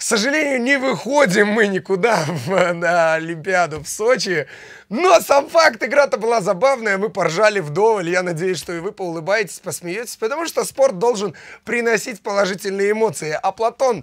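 At a moderate pace, a man with a high pitch talks with lively intonation against a quiet background. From Belarus. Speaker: comedic guest sports commentator. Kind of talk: comedic live sports commentary. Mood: cheerful, joking. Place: studio.

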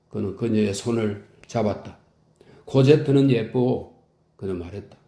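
At a moderate pace, a man talks in a dark, mellow, somewhat breathy voice with ordinary pitch variation. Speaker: audiobook narrator. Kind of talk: audiobook reading of a classic novel. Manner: calm, soothing.

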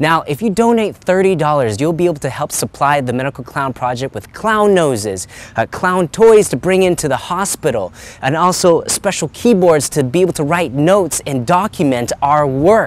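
This man talks at a moderate pace, and the sound is dry with no echo. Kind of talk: direct-to-camera appeal. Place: waterside. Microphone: lapel.

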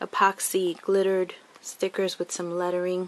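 Speaking at a fairly slow pace, a woman talks. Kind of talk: casual craft show-and-tell. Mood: warm, pleased. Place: home room. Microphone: phone near.

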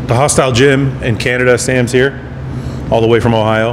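A man's intonation stays fairly even while noticeable noise runs behind him. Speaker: host introducing the workout. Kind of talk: casual vlog chat. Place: gym.

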